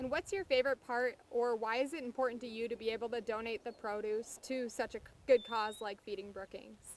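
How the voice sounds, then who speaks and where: A woman with a normal speaking voice, fairly high in pitch with ordinary variation, at a fairly quick pace with hardly any pauses. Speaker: agricultural reporter. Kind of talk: interview question.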